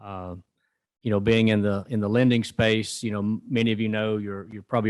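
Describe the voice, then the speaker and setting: A man with a Southern US accent speaks in a fairly low, flat monotone. He goes at a fairly quick pace against a quiet background. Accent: Southern US (Georgia). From rural North Georgia, US South. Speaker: rural development lending executive. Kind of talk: conference talk. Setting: conference event with audience. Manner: many filler words.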